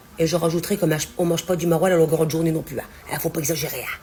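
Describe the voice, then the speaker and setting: A fairly quick delivery over noticeable background noise. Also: woman. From Nord-Pas-de-Calais, northern France. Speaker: home cook. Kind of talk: casual talk to camera about regional cooking words. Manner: chatty, folksy.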